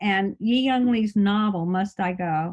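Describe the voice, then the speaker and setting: With a plain, everyday voice and an American accent, a woman speaks at medium pitch and a fairly slow pace, her intonation fairly even against a quiet background. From US South, Birmingham, Alabama. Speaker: essayist. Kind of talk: interview.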